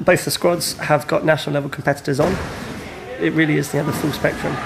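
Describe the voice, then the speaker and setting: Noticeable background noise and audible room echo surround a man who talks very fast in a fairly high, monotone, flat voice. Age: 30s. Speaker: trampoline coach. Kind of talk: interview.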